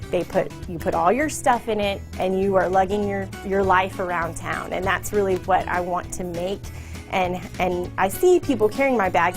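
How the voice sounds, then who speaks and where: At a moderate pace, a woman speaks with ordinary pitch variation while music plays in the background. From Texas. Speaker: leather handbag designer. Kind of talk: interview answer. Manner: casual, conversational.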